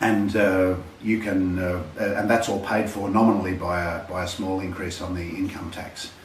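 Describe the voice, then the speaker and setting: Over noticeable background noise and audible room echo, a man with an Australian accent talks at a moderate pace in a very deep, low voice with fairly even intonation. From Australia (Sydney). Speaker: healthcare testimonial contributor. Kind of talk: testimony. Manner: halting.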